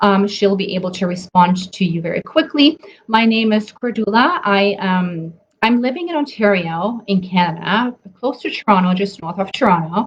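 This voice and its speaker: In a German accent, a woman speaks at a moderate pace with a medium pitch and lively intonation. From Germany. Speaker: nutrition coach. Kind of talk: live webinar talk. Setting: Facebook live stream. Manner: hesitant, many fillers.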